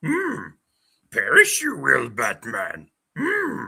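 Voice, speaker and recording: Using a put-on character voice, a man talks very slowly in a croaky, raised, projected voice. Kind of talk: inverted word order.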